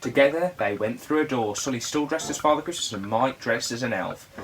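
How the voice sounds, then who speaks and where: In an English Midlands accent, a man speaks against noticeable background noise. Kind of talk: bedtime story read-aloud.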